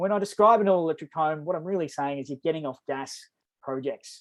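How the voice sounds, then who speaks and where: Very fast male speech, fairly high in pitch, with an Australian accent. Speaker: energy program presenter. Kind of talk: webinar presentation.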